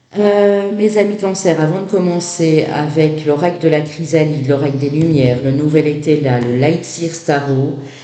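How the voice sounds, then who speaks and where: The room echo is audible as a man talks. He speaks at a fairly slow pace. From Belgium. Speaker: tarot reader. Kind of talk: tarot reading. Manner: hesitant, many fillers.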